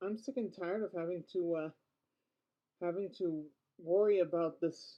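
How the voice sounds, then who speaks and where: A woman's mumbling at medium pitch, fairly slow in pace, with fairly even intonation. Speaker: vlogger. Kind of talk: casual vlog monologue. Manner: halting, with repetitions.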